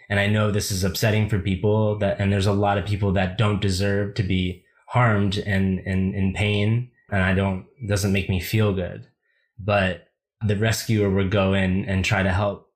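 With an American accent, a somewhat breathy man speaks in a monotone, flat intonation at a moderate pace and very even loudness, in a very clean recording with a silent background. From United States. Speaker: writer. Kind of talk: casual chat. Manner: halting.

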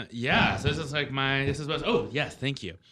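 This is a man speaking. Noticeable background noise can be heard. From US. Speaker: radio host. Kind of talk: casual chat. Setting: studio.

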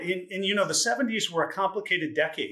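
A man at a moderate pace. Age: 50s. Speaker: wealth management advisor. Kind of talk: interview. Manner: hesitant, with fillers.

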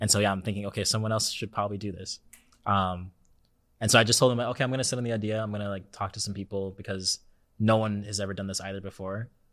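A man with an American accent, very fast pace, fairly low pitch and monotone, flat intonation, in a very clean recording with a silent background. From California. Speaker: dance choreographer. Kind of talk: casual chat.

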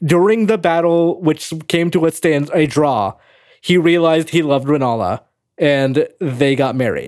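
A man speaks at a fairly slow pace in an ordinary speaking voice, with ordinary pitch variation. The recording is very clean, with a silent background. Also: fairly high pitch for a man, very even loudness. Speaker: news editor and podcast co-host. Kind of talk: casual chat.

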